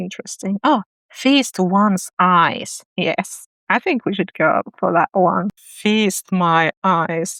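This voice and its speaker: A woman with a non-native accent. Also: dry, close sound with no echo. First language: not English. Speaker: writing YouTuber. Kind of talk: casual tutorial reading aloud own writing. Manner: halting, thinking aloud.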